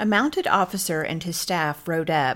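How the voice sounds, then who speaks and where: Heard in a very clean recording with a silent background, a woman has a plain, everyday voice with a fairly low pitch, ordinary pitch variation and a moderate pace. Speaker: podcast co-host. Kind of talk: history documentary narration. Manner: formal, measured, clear storytelling tone.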